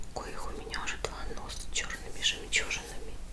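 The voice belongs to a woman. She talks fairly slowly. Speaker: ASMR content creator. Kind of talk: ASMR show-and-tell of purchases, whispered.

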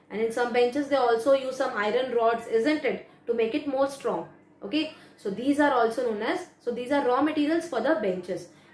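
A woman's high voice with ordinary pitch variation, a moderate pace, and audible room echo. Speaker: teacher. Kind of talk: lecture. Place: home room. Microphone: phone near.

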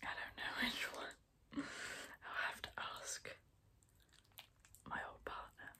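A woman whispers very slowly, with long pauses that come often. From England. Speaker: ASMR creator. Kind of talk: ASMR whisper ramble. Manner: whispered, soft-spoken. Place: home room. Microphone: phone near.

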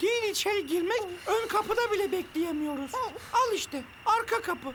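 Someone does a cartoonish character voice at an extremely high pitch. The pace is moderate, and background noise is clearly heard.

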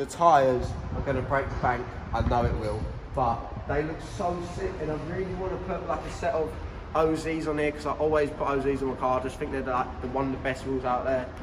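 A man talks at a fairly quick pace with ordinary pitch variation. Noticeable background noise is present. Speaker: car vlogger. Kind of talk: casual vlog chat. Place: garage. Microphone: camera far.

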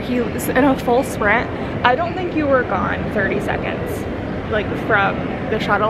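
Loud background noise runs under a woman's voice. Her pitch varies in an ordinary way. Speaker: travel vlogger. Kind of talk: casual vlog chat. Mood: annoyed, amused retelling. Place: station. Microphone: phone near.

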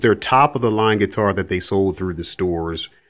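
In a normal speaking voice, a man talks fairly quickly. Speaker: guitar owner reviewing. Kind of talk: casual product review. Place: home room. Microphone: phone near.

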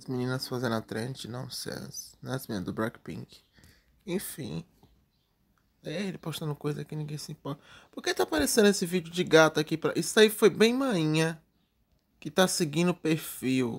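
A man talks at a moderate pace with lively intonation, leaving long, frequent pauses. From Brazil. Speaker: YouTube TV news commentator; TV gossip commentator. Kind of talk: casual vlog commentary; casual vlog chat. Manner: chatty, filler-heavy. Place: home room. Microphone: webcam.

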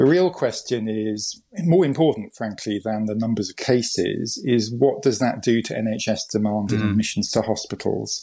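In a quiet setting, a man speaks with a dark, mellow tone and ordinary pitch variation. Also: moderate pace, hardly any pauses. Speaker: interview guest. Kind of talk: interview answer.

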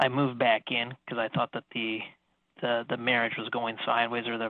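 Quiet background and a dry sound with no echo. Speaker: radio caller. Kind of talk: caller describing his problem. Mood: hesitant, halting. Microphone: phone line.

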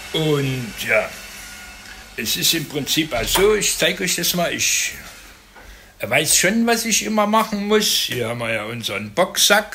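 With light background noise behind him, a man speaks very slowly with long, frequent pauses, his high pitch swinging very widely. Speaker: vlogger. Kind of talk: casual vlog chat. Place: home room. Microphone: phone near.

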